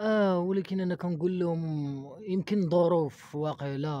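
Recorded dry with no echo, a man speaks in a dark, mellow tone. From Morocco, Casablanca. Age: 20s. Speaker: former orphanage resident; interviewee. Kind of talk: testimony. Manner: halting. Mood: sad, resigned. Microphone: handheld.

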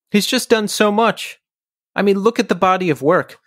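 A man talks at a moderate pace on a very clean recording where the background is silent. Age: 40s. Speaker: podcast host. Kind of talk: solo intro and outro monologue; casual interview chat.

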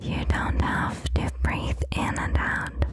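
Whispering and soft-spoken, a woman talks at a very slow pace in a dry sound with no echo, with noticeable background noise behind her. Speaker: ASMR creator. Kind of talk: whispered guided relaxation. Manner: soft close-mic whisper. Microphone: studio mic.

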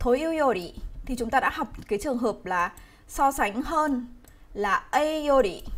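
A woman's high-pitched voice with lively intonation, a fairly slow pace, and long, frequent pauses. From Vietnam. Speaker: Japanese language teacher. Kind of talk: live online grammar lesson. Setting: livestream. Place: home room.

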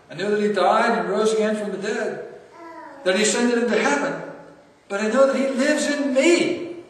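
In a room with strong echo, a man speaks at a moderate pace in a high voice with ordinary pitch variation.

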